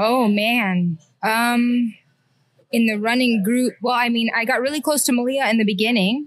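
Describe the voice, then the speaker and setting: A normal speaking voice from a woman with an American accent, fairly high in pitch, with fairly even intonation and very even loudness. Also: moderate pace. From Alvin, Texas (Houston area). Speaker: hairdresser and runner. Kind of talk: casual chat.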